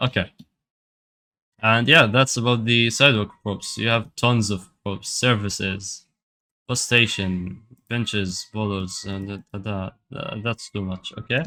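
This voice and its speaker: A man with a non-native accent speaks at a fairly slow pace, his fairly low voice bright and sharp in tone. His loudness swings widely, on a very clean recording with a silent background. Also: fairly even intonation. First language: not English. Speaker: addon developer. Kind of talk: software tutorial. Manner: casual, hesitant with fillers.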